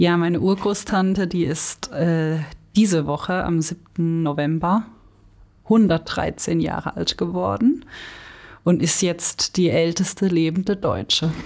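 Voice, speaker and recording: This woman's voice sits fairly low, with ordinary pitch variation. She talks at a very slow pace in a very clean recording with a silent background. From Stutensee-Büchig, Baden. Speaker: former editorial team member, teacher trainee. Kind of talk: casual chat.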